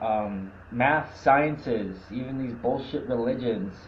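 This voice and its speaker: Audible room echo surrounds a man speaking at a medium pitch and moderate pace with ordinary pitch variation. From Canada. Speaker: activist livestreamer. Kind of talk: casual monologue. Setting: live video stream. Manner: stuttering.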